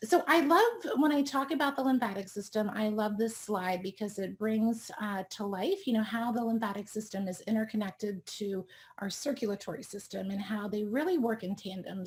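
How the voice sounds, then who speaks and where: A somewhat breathy woman talks at a fairly quick pace with an American accent and ordinary pitch variation. The recording is very clean, with a silent background. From US East Coast. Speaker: doctor treating chronic illness. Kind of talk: expert talk presentation. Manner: fast; animated.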